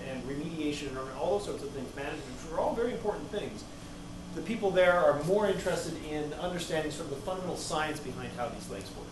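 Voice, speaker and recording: A man talks at a very fast pace with ordinary pitch variation. Audible room echo and noticeable background noise surround him. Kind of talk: lecture. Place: classroom. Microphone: camera far.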